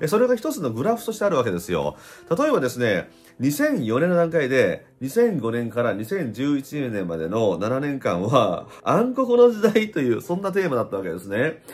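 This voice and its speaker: A man talks in a fairly high pitch at a moderate pace, his pitch swinging very widely. Faint music plays in the background. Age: 50s. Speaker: spiritual YouTuber and blogger; spiritual YouTuber, blogger. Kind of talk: casual vlog monologue. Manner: animated. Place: home room. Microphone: phone near.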